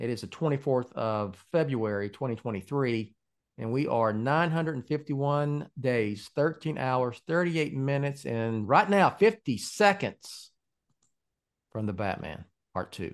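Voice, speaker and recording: A man with a normal speaking voice talks at a fairly slow pace and a medium pitch. His intonation is lively, and the background is quiet. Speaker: podcast host and website founder. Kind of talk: casual chat.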